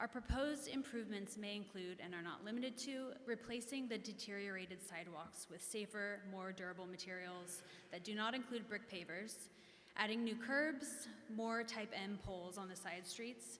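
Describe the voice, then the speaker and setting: A woman with an American accent speaks at a medium pitch, with audible room echo and noticeable background noise. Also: ordinary pitch variation, moderate pace. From Kansas. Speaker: business district representative. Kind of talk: public meeting presentation. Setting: echoey meeting room. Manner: formal.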